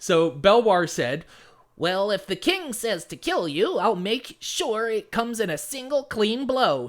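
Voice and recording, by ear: A put-on character voice, fairly high in pitch, at a fairly slow pace.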